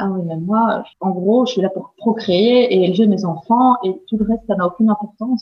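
Speaking at a moderate pace, a woman uses an unremarkable speaking voice with a medium pitch and fairly even intonation. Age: 30s. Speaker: stay-at-home mother and baby/animal communication trainer. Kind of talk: interview testimony. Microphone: poor recording quality.

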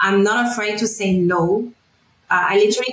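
The speaker is a woman. She talks in a French accent. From France, then Middle East from age 12. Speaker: wellness coach. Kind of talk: interview testimony.

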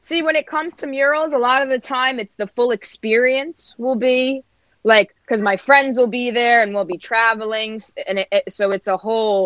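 With an American accent, a woman at high pitch speaks at a moderate pace, with ordinary pitch variation and hardly any pauses. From New Jersey and Brooklyn, New York. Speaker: mural artist. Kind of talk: casual interview chat.

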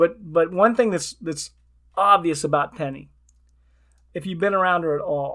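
A man's high-pitched voice on a very clean recording with a silent background. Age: 60s. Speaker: podcast host and retirement coach. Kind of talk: casual interview.

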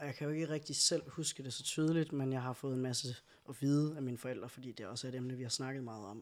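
This man talks at a very fast pace with a medium pitch and fairly even intonation. The recording is very clean, with a silent background. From Denmark, Skive. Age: 30s. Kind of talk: casual chat. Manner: hesitant fillers.

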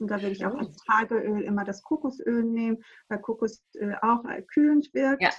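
The woman has a fairly high pitch and a somewhat breathy sound. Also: ordinary pitch variation, moderate pace. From Greece, small island. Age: 30s. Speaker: aromatherapy advisor. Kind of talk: casual chat.

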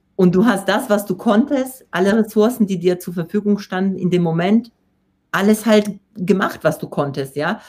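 A woman with a Polish accent, medium pitch, ordinary pitch variation, a somewhat breathy quality and a moderate pace. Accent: Polish accent, rolled r. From Poland. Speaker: personal development coach and speaker. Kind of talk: interview. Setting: live video stream.

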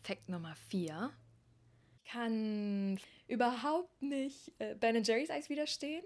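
With very wide pitch swings and a fairly high pitch, a woman speaks at a very slow pace, leaving long, frequent pauses. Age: 30s. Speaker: podcast host, yoga teacher. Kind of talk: solo monologue podcast. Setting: outdoors on Pacific coast. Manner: animated.

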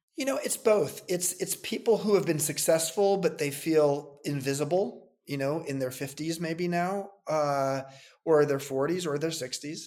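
In a plain, everyday voice with an American accent, a man talks at a fairly slow pace and fairly high pitch, with ordinary pitch variation. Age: 60s. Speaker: entrepreneur. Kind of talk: interview.

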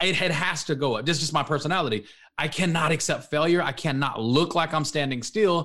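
This man has a bright, sharp tone and a fairly high pitch. He speaks with an American accent. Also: ordinary pitch variation, fairly quick pace. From Texas, Dallas-Fort Worth area. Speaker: author and motivational speaker. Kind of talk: interview. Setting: studio.

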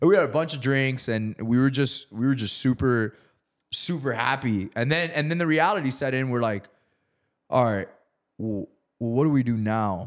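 A man talks at a moderate pace in an ordinary speaking voice, his medium pitch showing ordinary pitch variation. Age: 30s. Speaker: real estate investor. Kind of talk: casual interview, storytelling.

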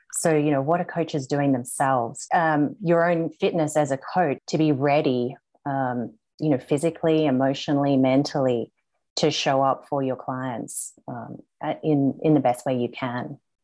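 The voice has a dark, mellow tone and a slight Australian accent, with fairly even intonation over a quiet background. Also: woman, very deep, low pitch for a woman, moderate pace. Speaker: group coach. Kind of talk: interview.

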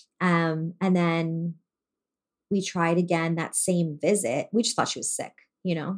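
A woman has an unremarkable speaking voice, fairly low in pitch. She speaks at a fairly slow pace with fairly even intonation. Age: 40s. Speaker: business owner and mother. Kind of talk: interview.

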